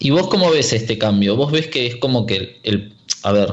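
A man with a medium pitch and lively intonation sounds somewhat breathy, with audible room echo around him. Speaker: radio host. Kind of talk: radio interview.

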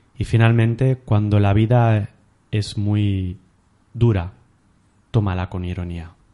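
A man speaks at a very slow pace with long, frequent pauses and fairly even intonation. His dark, mellow tone sits at a fairly low pitch against a quiet background. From Catalonia. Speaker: podcast host. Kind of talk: interview.

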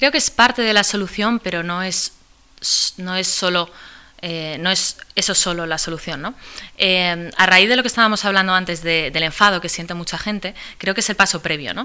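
A woman speaks at a moderate pace with a bright, sharp tone. Her voice sits at a medium pitch with ordinary pitch variation. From Spain. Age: 20s. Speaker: activist. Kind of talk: interview. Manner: halting, frequent repetitions.

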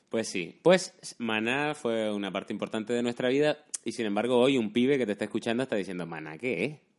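A man's plain, everyday voice at medium pitch, fairly quick, with lively intonation and hardly any pauses. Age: 30s. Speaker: YouTuber and podcast host. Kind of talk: casual chat.

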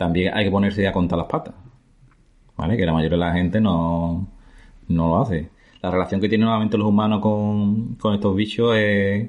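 A man with a normal speaking voice, fairly low in pitch, with fairly even intonation, very even loudness and a moderate pace. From Andalusia, Spain (La Barca de la Florida, Jerez, Cádiz). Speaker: biologist. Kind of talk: casual interview. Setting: in person.

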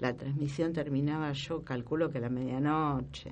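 In a room with audible echo, a woman talks at a very deep, low pitch. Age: 60s. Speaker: historian and professor. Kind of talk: interview.

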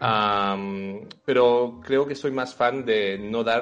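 A man with ordinary pitch variation. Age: 30s. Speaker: video game designer and illustrator. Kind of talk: interview.

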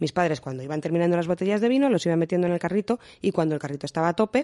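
A woman's dark, mellow voice, fairly low-pitched, with lively intonation at a very fast pace against a quiet background. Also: dry, close sound with no echo. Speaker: podcast co-host. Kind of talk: casual chat.

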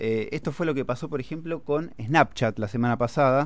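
A man with a plain, everyday voice speaks at a moderate pace. His pitch varies in an ordinary way over a quiet background. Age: 30s. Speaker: financial analyst. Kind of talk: casual chat.

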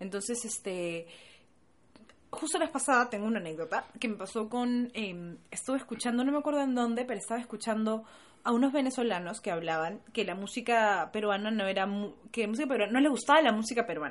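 Over a quiet background, a woman talks at a fairly quick pace with lively intonation. Hers is an unremarkable speaking voice. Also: fairly high pitch for a woman. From Peru. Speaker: podcast co-host. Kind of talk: casual chat.

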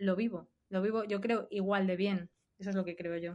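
In an unremarkable speaking voice, a woman talks at medium pitch and a moderate pace with fairly even intonation. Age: 40s. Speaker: video game designer. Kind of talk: casual chat.

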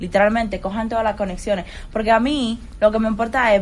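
A woman speaks at a very fast pace with a fairly high pitch. Her voice is somewhat breathy. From Dominican Republic, Santo Domingo. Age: 20s. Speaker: financial analyst. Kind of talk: interview. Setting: studio.

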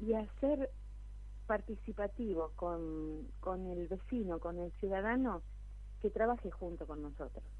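A woman speaks with an Argentine accent. Her pace is fairly slow. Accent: Rioplatense Argentine Spanish. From Argentina, Buenos Aires province town. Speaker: local council candidate and church leader. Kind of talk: radio interview. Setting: phone call.

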